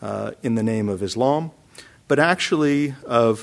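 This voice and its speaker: A man speaks with a plain, everyday voice. His pace is moderate and his pitch variation ordinary. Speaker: professor. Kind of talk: lecture. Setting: stage with audience.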